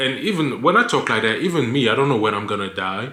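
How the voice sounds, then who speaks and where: A man with a non-native accent, a moderate pace, ordinary pitch variation, and audible room echo. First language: not English. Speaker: lifestyle vlogger. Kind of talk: casual vlog monologue. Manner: stutters; halting, many fillers.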